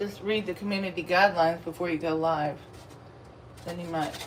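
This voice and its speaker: A woman with a Texas accent, medium pitch and ordinary pitch variation at a moderate pace, amid noticeable background noise and audible room echo. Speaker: food vlogger and comedian. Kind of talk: casual live-stream chat while eating.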